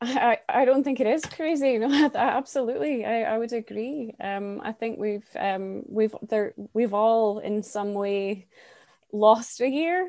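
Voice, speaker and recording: A woman with a non-native accent, fairly high-pitched, dark and mellow in tone, with lively intonation against a quiet background. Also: fairly slow pace. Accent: non-American, foreign. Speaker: youth coordinator at a refugee nonprofit. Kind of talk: casual interview.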